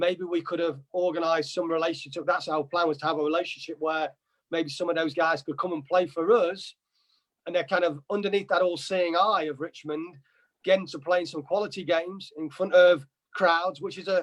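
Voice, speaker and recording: A man with an East Midlands accent talks at a fairly quick pace in a high pitch, his intonation fairly even. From England, Nottingham. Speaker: soccer coach. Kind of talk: interview.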